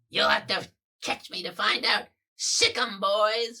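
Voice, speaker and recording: A put-on character voice speaks at a fairly high pitch and a fairly slow pace. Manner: creepy, taunting.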